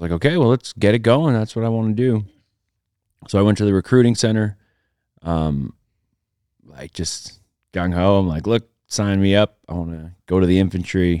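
With a western Canadian accent, a man speaks at a moderate pace with long, frequent pauses, a fairly low pitch and ordinary pitch variation. His tone is dark and mellow, on a very clean recording with a silent background. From Alberta, Canada (rural Métis settlement). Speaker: retired special operations sniper and country musician. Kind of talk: casual interview chat.

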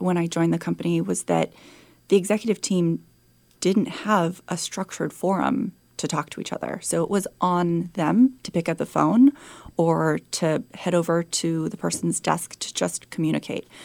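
A woman speaks in a plain, everyday voice with an American accent, fairly low in pitch with ordinary pitch variation. Her pace is moderate, and the recording is very clean with a silent background. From San Francisco, California. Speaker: chief of staff and former executive assistant. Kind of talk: interview conversation. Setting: studio.

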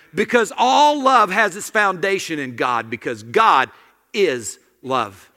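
A man with an American accent speaks at a very slow pace, his voice raised and projected. His pitch is high and his tone bright and sharp. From small-town US. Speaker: guest preacher. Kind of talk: sermon. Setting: church. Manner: animated.

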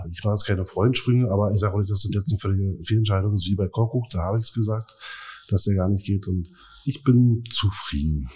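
A man's fairly low, dark and mellow voice, somewhat breathy, at a very fast pace. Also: ordinary pitch variation, very clean recording, silent background. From Berlin area (Brandenburg). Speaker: football fan. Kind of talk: casual chat.

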